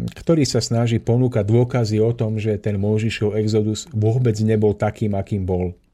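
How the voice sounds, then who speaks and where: The speech moves at a moderate pace with a dark, mellow tone. Intonation stays fairly even. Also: man. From Slovakia, Orava region. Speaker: spiritual lecturer. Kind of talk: radio talk lecture. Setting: radio studio.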